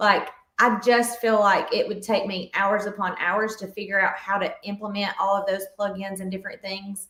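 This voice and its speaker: Her intonation is monotone and flat, at a medium pitch and moderate pace. The woman speaks with a Southern US accent. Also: hardly any pauses. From US South. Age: 40s. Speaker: fitness coach. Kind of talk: podcast interview.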